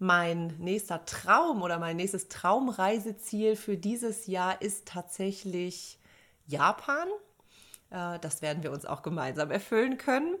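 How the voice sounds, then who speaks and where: A woman's medium-pitched voice, very slow and lively in intonation, on a very clean recording with a silent background. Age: 30s. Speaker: podcast co-host, psychologist. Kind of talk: casual chat.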